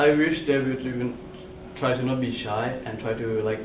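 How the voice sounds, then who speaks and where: With clear background noise and an echo from the room, a man is talking. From Thailand. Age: 20s. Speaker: international university student. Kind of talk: interview. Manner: halting, non-native grammar.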